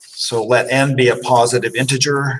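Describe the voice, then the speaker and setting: This man's voice comes across as somewhat breathy. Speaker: math instructor. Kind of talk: lecture.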